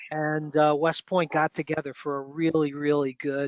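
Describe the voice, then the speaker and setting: Here is a man with a New York accent. He speaks at a moderate pace with a fairly high pitch. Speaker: student chapter mentor. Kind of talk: online meeting discussion.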